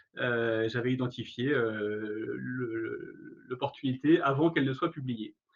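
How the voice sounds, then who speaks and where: Speaking very slowly with hardly any pauses, a man holds a medium pitch and a fairly even intonation. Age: 40s. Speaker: career education trainer, startup founder. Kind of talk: webinar presentation. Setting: online webinar. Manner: hesitant, many fillers.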